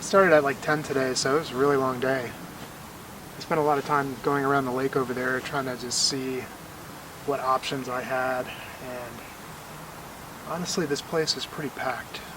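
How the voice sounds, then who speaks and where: A man talks quietly at a moderate pace and medium pitch, in a monotone, flat intonation with long, frequent pauses. Noticeable background noise sits behind him. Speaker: hiker vlogger. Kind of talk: casual vlog to camera. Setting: outdoors at a campsite. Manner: quiet, hushed.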